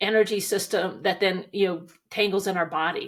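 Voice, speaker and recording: An unremarkable speaking voice from a woman with an American accent, medium in pitch, with fairly even intonation and a moderate pace, on a very clean recording with a silent background. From Montana, US. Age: 60s. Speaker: equine coach, former rancher and attorney. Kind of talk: interview.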